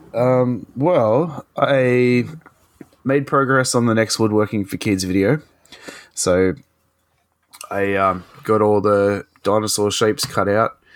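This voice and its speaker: In an Australian accent, a man with a fairly low voice talks at a very slow pace, leaving long, frequent pauses and keeping his loudness very even. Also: ordinary pitch variation. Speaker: podcast host. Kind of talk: casual chat. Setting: remote recording.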